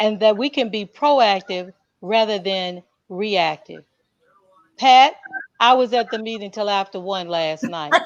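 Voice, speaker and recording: An unremarkable speaking voice from a woman at medium pitch, fairly slow, with lively intonation. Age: 60s. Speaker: education panelist, school board member. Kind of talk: panel discussion.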